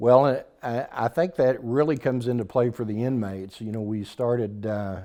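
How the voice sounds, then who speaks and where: A man with an American accent and an unremarkable speaking voice talks at a medium pitch and a moderate pace, with ordinary pitch variation. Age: 60s. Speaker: dental clinic ministry leader. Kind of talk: interview. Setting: on location at a church.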